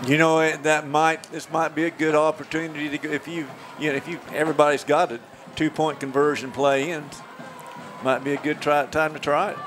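Over faint background music, a man talks at a fairly quick pace with monotone, flat intonation. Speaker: color commentator. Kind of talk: sports commentary analysis. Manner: conversational, analytical.

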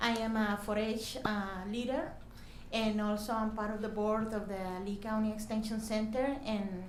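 In a strong Mexican accent, a woman talks fairly slowly at a fairly high pitch, with audible room echo and noticeable background noise. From Mexico, desert region. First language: Spanish. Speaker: youth program volunteer leader. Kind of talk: public hearing comment. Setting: county meeting room. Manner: halting.

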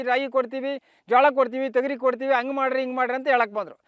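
A man is speaking. His pitch is extremely high. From Karnataka, India (Doddaballapur taluk, Bengaluru Rural). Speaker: farmer. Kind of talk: interview testimony. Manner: halting.

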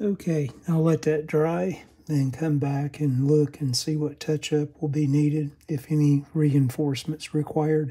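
A man's fairly high-pitched voice, dark and mellow with a slightly husky edge, fairly slow and with little pitch movement

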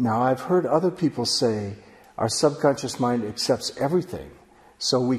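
A somewhat breathy man with a calm tone, ordinary pitch variation and a moderate pace. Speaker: author and workshop teacher. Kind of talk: online course lecture. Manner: calm, explanatory, reflective. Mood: calm, warm, earnest. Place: studio.

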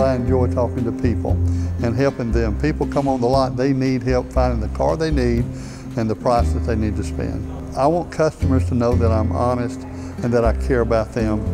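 Moderate-paced speech from a man, clear music playing behind. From Bessemer, Alabama. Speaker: car salesman, former pastor. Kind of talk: interview answer. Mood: warm, sincere. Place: shop. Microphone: lapel.

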